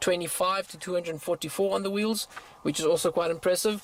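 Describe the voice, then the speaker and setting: His intonation fairly even, a man talks at a high pitch. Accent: South African. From South Africa, Afrikaans-speaking. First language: Afrikaans. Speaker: car YouTuber. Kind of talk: car review monologue. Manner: hesitant, many fillers and stutters.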